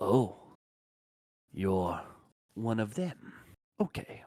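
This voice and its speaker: A man puts on a character voice at a medium pitch. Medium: actual play.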